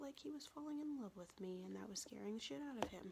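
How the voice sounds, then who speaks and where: A woman's medium-pitched voice comes across as somewhat breathy. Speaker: ASMR creator. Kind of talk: casual storytelling to camera. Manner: soft-spoken.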